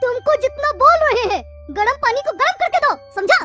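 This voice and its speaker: A woman performs a cartoonish character voice at an extremely high pitch and a moderate pace. Loud background noise runs underneath. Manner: bossy, curt.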